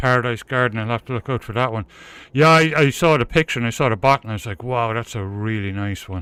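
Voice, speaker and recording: In a dry, close sound with no echo, a man speaks at a very fast pace with a medium pitch, ordinary pitch variation and a bright, sharp tone. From Ireland, Cork City. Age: 50s. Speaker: live streamer, gamer. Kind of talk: casual chat.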